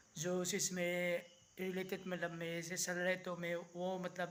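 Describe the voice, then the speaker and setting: This man speaks in a high pitch. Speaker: vlogger. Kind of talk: casual vlog. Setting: outdoors at night. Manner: halting, many fillers.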